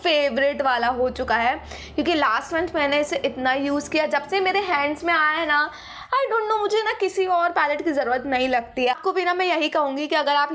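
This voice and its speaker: With a high voice and ordinary pitch variation, a woman talks at a moderate pace. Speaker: beauty vlogger. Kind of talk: casual vlog chat. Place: home room. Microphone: phone near.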